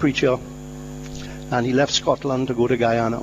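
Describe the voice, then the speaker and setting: A man's voice against noticeable background noise. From Trinidad. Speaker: company founder. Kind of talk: interview. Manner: halting.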